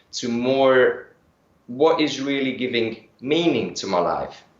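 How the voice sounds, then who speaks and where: Speech in a German accent comes at a very slow pace. Audible room echo surrounds it. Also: man. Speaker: energy healing practitioner. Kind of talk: interview. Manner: hesitant, with fillers.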